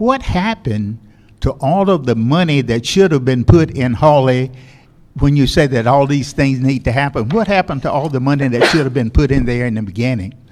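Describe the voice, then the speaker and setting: In a Southern US accent, a man talks at a fairly quick pace. His intonation is lively. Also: medium pitch for a man. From US South, Granville County North Carolina. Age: 80s+. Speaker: community member speaking at public comment. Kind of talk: public comment speech. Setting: school board public hearing.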